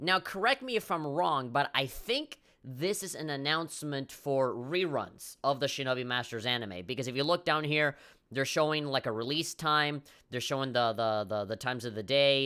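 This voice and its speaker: On a very clean recording with a silent background, a man with a fairly high pitch and a bright, sharp tone speaks at a moderate pace with lively intonation. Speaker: gaming commentator. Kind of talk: video commentary. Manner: casual, halting.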